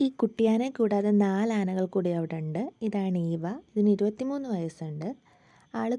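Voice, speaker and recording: Her medium-pitched voice carries a dark, mellow tone, and the woman's intonation is lively. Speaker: travel vlogger. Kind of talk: vlog narration.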